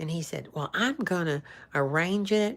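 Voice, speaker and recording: A woman with a Southern US accent at a moderate pace, on a very clean recording with a silent background. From US South, northeast Alabama / northwest Georgia. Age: 60s. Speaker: actress and social media personality. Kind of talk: casual live-stream chat. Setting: live stream.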